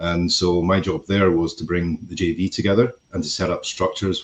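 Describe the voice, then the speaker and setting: Very deep and low, a man's voice carries a Scottish accent. He keeps a moderate pace with monotone, flat intonation. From Scotland. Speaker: construction company executive. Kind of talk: podcast interview. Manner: hesitant, many fillers.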